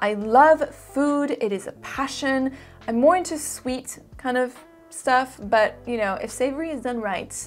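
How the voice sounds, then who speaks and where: A woman with an American accent speaks at a fairly slow pace. Her pitch is high. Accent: American-sounding English. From Switzerland (French-speaking) and Singapore. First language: French. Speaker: fragrance YouTuber. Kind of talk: casual Q&A.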